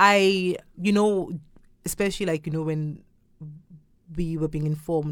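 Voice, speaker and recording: An animated voice with a Zulu accent on a very clean recording with a silent background. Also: woman. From South Africa, Durban. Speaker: theatre company founder. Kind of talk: casual interview. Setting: studio. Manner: animated, laughing.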